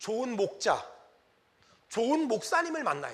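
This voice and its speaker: In a room with audible echo, a man speaks at a moderate pace in an animated tone. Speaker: pastor. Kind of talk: sermon. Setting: church.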